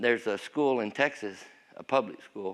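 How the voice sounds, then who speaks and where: In a Southern US accent, a man talks at a fairly slow pace. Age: 60s. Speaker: pastor. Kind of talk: testimony. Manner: casual.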